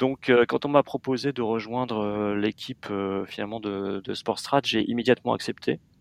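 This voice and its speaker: In a dry, close sound with no echo, a man with a normal speaking voice talks at a medium pitch and moderate pace with fairly even intonation. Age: 40s. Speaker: magazine editor-in-chief. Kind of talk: interview.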